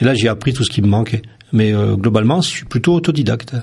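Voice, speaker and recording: Lively in intonation, a man with a medium-pitched voice talks at a fairly quick pace. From France, Vosges (Lorraine). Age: 50s. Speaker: photographer. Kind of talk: radio interview. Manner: hesitant, many fillers.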